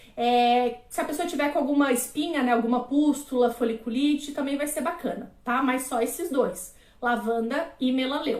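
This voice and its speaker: Speaking at a high pitch, a woman keeps a moderate pace with hardly any pauses. Her pitch variation is ordinary. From Florianópolis, Brazil. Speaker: aromatherapist / naturologist. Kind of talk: live-stream lecture. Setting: live stream.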